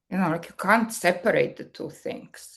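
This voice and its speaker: A woman's medium-pitched voice with vocal fry and a strong Serbian accent. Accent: thick Serbian. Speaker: marketing executive. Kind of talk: podcast interview.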